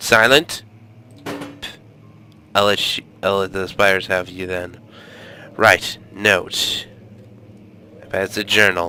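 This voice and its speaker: A man speaks at a very slow pace with long, frequent pauses, his loudness swinging widely. His very deep, low voice has ordinary pitch variation. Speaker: gaming let's play commentator. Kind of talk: casual gameplay commentary.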